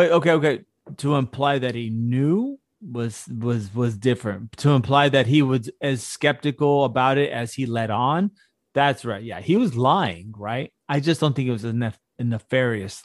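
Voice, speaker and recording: In a normal speaking voice, a man talks at a fairly slow pace with a medium pitch and ordinary pitch variation, the sound dry and close with no echo over a quiet background. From Houston, Texas. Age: 40s. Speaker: podcast co-host. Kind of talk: casual chat. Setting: video call.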